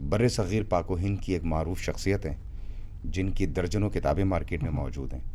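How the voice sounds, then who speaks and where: Lively intonation marks this man's speech. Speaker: radio jockey and voice-over artist. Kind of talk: interview answer.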